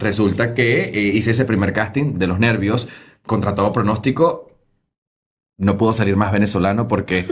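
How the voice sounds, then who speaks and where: At a moderate pace, a man speaks in a fairly low, somewhat breathy voice with very even loudness. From Venezuela, Lara state near Barquisimeto. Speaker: TV news presenter. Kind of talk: interview storytelling. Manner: animated.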